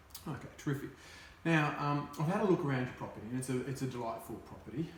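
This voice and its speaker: The speech comes at a very fast pace with ordinary pitch variation. There is audible room echo and noticeable background noise. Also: man, fairly high pitch for a man. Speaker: real estate agent. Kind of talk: role-play sales appraisal.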